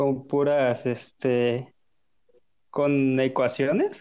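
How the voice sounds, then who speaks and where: A man speaking at a fairly high pitch. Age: 20s. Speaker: podcast guest. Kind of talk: casual chat.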